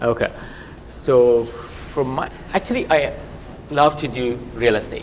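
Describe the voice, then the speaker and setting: The speech moves at a fairly slow pace with long, frequent pauses. Background noise is noticeable. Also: man. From abroad, not Canada. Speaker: real estate agent. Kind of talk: panel discussion.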